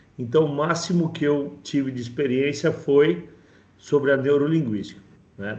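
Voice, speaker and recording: The speech moves at a fairly slow pace with ordinary pitch variation. Room echo is audible. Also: man. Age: 50s. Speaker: course participant. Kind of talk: testimony. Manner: halting.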